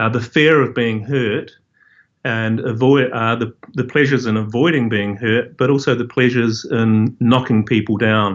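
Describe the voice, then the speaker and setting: A man with a New Zealand accent, monotone and flat in intonation, at a moderate pace. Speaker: professor. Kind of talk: interview. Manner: halting.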